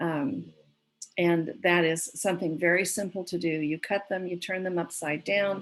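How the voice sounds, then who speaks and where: A woman with a plain, everyday voice speaks at a moderate pace, fairly low in pitch and fairly even in intonation. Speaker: gardening presenter. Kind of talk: presentation.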